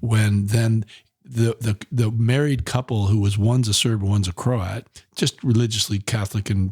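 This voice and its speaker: A man speaks at a moderate pace in a somewhat breathy voice. The sound is dry and close, with no echo. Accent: American. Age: 60s. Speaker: environmental nonprofit director and activist. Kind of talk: podcast interview. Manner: animated; repetitive stammering.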